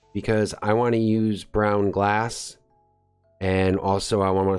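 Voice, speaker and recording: Over music in the background, a man talks in a fairly low, monotone voice with flat intonation. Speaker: gaming video creator. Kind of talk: gameplay commentary. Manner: casual.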